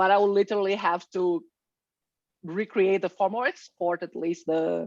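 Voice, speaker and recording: Speaking at a moderate pace, a woman has a normal speaking voice. Her intonation stays fairly even. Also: medium pitch for a woman. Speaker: software presenter. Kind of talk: tutorial.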